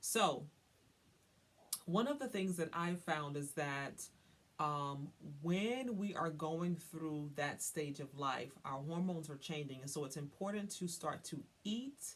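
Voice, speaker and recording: With a slight Southern US accent, a woman speaks at a very slow pace in a very deep, low voice with ordinary pitch variation. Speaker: wellness coach. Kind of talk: tutorial. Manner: casual, conversational with frequent fillers.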